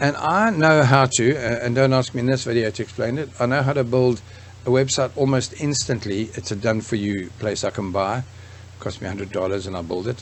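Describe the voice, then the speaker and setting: With ordinary pitch variation and a mid-range voice, a man talks at a fairly quick clip. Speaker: online course creator for craft businesses. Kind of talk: tutorial. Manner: fast; casual, halting with false starts.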